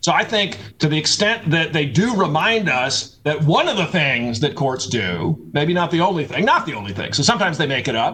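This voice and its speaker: Noticeable background noise sits under a man who talks fairly quickly, his fairly high pitch swinging very widely. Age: 40s. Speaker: law professor. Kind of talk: casual chat. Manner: halting.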